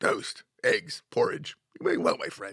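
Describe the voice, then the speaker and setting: A man uses a raspy, put-on character voice at a fairly slow pace. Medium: read story.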